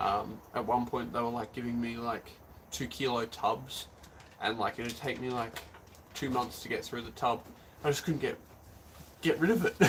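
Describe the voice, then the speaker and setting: Somewhat breathy and with an Australian accent, a man of medium pitch speaks at a moderate pace with fairly even intonation and long, frequent pauses. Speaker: arm wrestler streaming live. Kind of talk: live stream chat. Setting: live stream on camera. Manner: casual, many filler words.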